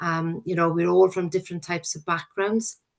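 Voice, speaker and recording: A woman with a Welsh accent speaks at a fairly low pitch. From Wales. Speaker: probation service manager. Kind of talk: recruitment presentation. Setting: working from home. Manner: hesitant, with frequent fillers.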